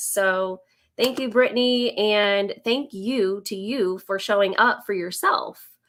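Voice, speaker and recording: In a US Midwestern accent, a woman speaks at a very slow pace with ordinary pitch variation on a very clean recording with a silent background. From Indiana, US Midwest. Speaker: business coach and former teacher. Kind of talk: live stream presentation. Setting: live video stream. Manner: hesitant, many fillers.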